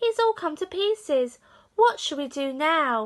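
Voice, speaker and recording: Squeaky and extremely high in pitch, a woman's put-on character voice swings very widely in pitch at a fairly slow pace. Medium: read story.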